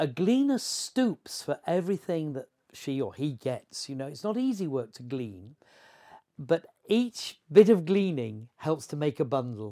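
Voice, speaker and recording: Fairly high in pitch, a man talks at a fairly slow pace in a dark, mellow tone, with very wide pitch swings. His loudness rises and falls sharply, and the recording is very clean with a silent background. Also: dry, close sound with no echo. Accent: Yorkshire. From Yorkshire, England (Horsforth, near Leeds). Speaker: travelling evangelist. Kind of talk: interview.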